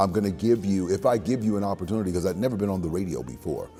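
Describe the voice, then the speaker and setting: The voice is resonant. Music plays in the background. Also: man. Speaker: voice actor. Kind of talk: interview answer. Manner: speech impediment.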